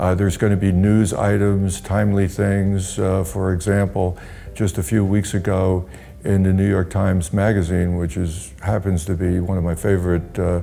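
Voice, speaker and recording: At a moderate pace, a man speaks with a very deep, low pitch, fairly even intonation and very even loudness. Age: 60s. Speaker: pharmaceutical industry veteran, health website owner. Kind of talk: interview. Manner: halting.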